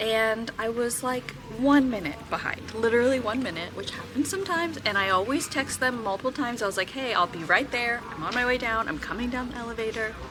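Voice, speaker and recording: A woman talks fairly quickly with hardly any pauses. Her intonation is lively, and music plays in the background. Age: 30s. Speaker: vlogger. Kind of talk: casual vlog talk to camera. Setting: airport. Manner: quiet, talking low.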